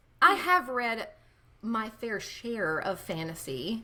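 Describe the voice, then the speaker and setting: With a Southern US accent, a woman talks at a fairly high pitch in a bright, sharp tone and lively intonation. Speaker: podcast co-host. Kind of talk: casual chat.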